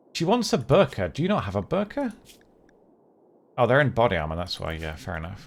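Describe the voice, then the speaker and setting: Talking at a fairly quick pace, a man with a medium pitch uses vocal fry and very wide pitch swings. His speech has long, frequent pauses. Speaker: game streamer. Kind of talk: live gameplay commentary. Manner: fast.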